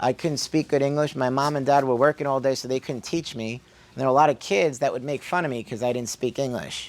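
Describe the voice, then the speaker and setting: A man at a fairly quick pace. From Brooklyn, New York, immigrated at three. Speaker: chiropractor. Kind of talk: health workshop talk. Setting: workshop with live audience. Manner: animated, conversational.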